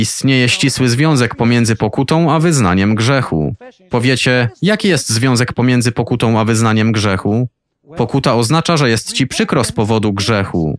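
At a moderate pace, a man uses an ordinary speaking voice with medium pitch and ordinary pitch variation. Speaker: voice-over reader of a translated sermon. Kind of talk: reading aloud a translated sermon.

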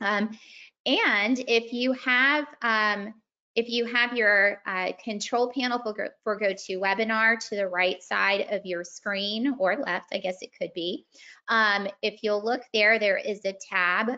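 Against a quiet background, a woman speaks at a very slow pace. Her intonation is fairly even. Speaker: webinar host. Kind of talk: housekeeping announcement. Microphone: video call.

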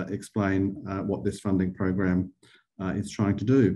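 At a moderate pace, a man with an Australian accent speaks in a dark, mellow tone. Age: 50s. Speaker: arts funding director and webinar host; webinar host. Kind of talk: webinar Q&A. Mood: friendly, welcoming. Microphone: video call.

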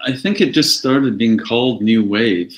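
The background stays quiet while a man speaks. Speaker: guest. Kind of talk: interview answer. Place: home room. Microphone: video call.

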